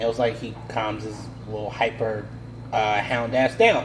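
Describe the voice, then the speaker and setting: Against noticeable background noise, a man with a medium pitch talks at a fairly slow pace. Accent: American. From United States. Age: 30s. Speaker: podcast host. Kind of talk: casual chat.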